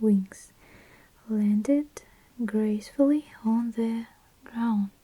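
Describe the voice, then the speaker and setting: A woman whispers with a Russian accent. She is soft-spoken and somewhat breathy. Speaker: ASMR creator. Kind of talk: ASMR book reading, soft-spoken. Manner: soft, whispering, relaxing.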